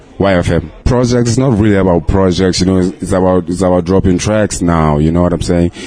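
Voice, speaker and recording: The pace is moderate. Noticeable background noise is present. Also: man. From South Africa, Sebokeng. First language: Zulu or Sotho. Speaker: rapper. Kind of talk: interview.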